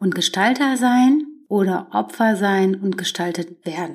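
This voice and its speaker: A woman speaks at a medium pitch and a fairly slow pace. Her intonation is lively, and it is an ordinary speaking voice. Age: 30s. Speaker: podcast host. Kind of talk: solo self-help monologue.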